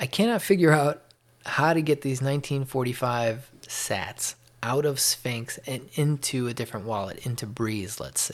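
A man with an American accent, medium pitch and ordinary pitch variation. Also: moderate pace. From US Midwest, Chicago area. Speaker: solo podcaster. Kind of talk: casual solo monologue. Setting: home office. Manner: sometimes too loud.

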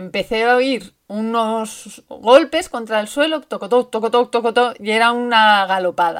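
A woman speaks fairly slowly in a normal speaking voice with a fairly high pitch. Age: 30s. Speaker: bicycle traveler. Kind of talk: recorded testimony.

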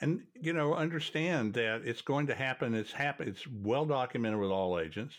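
The man talks at a fairly quick pace with lively intonation. The background is quiet. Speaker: podcast host and MRI educator. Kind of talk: educational discussion.

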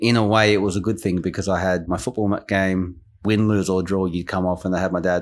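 A man with an Australian accent speaks at a fairly quick pace, his voice very deep and low. His intonation stays fairly even, on a very clean recording with a silent background. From Queensland, Australia (English-born). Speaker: football academy manager and coach. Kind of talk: interview.

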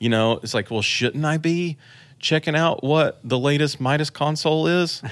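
With an American accent, a man uses an ordinary speaking voice, fairly high in pitch, at a moderate pace with ordinary pitch variation, in a very clean recording with a silent background. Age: 30s. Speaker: church tech director and online trainer. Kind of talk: casual chat.

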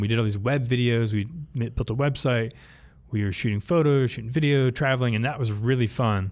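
Speaking in a normal speaking voice, a man holds a medium pitch and shows ordinary pitch variation. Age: 40s. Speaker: bike company co-founder. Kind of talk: interview. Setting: studio.

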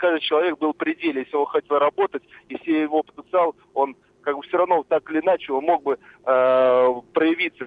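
His intonation stays fairly even. The man keeps a moderate pace. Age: 60s. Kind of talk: casual chat. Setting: phone call. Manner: halting.

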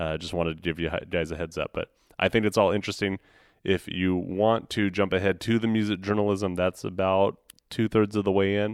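A man talks at a fairly quick pace in a fairly low pitch, with a normal speaking voice. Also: fairly even intonation. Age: 30s. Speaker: podcast host. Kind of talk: casual chat.

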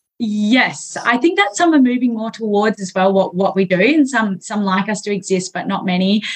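Speaking in an Australian accent at a moderate pace with hardly any pauses, a woman of medium pitch uses ordinary pitch variation against noticeable background noise. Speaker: physiotherapist and strength coach. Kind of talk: interview conversation.

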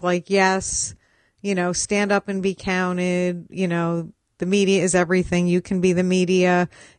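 A woman talks at a moderate pace in a medium pitch. Hers is a plain, everyday voice. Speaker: podcast host. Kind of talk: interview, podcast intro.

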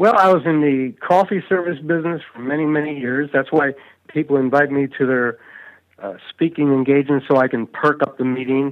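In a normal speaking voice, a man talks at a fairly quick pace. His pitch is fairly high, with ordinary variation. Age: 60s. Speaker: public speaking coach and author. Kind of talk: interview. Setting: podcast interview.

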